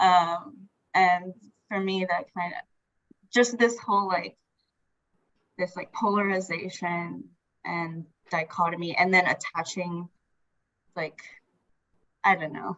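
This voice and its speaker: In a Filipino accent, a woman with a medium pitch talks at a fairly slow pace, her loudness swinging widely and her speech broken by long, frequent pauses. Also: fairly even intonation. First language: Tagalog. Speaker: workshop participant. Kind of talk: casual group discussion. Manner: hesitant, many fillers.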